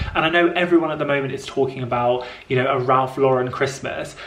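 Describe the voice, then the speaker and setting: A woman with a very deep, low voice and a southern English accent speaks at a moderate pace, with audible room echo and noticeable background noise. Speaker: lifestyle vlogger. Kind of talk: casual vlog talk to camera. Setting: home office. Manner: animated.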